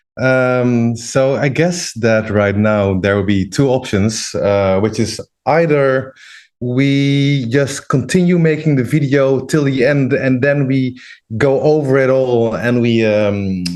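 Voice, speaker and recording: A man speaking at a very slow pace, his loudness very even, over a quiet background. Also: medium pitch for a man, ordinary pitch variation. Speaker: audiovisual artist demonstrating software. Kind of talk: livestream tutorial. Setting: livestream. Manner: slow, hesitant with fillers.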